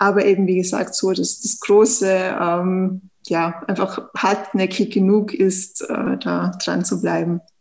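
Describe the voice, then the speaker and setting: A woman with medium pitch and a Tyrolean accent speaks very slowly, with fairly even intonation. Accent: Tyrolean Austrian. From Austria, Tyrol. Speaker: startup founder. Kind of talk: interview. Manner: hesitant, frequent fillers.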